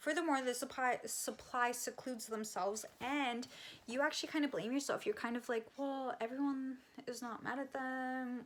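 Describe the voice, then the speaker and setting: A woman speaks at a moderate pace in a high pitch. Her intonation stays fairly even. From Canada. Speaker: psychic medium and energy healer. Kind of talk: casual talk to camera. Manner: casual, conversational, with fillers and swearing.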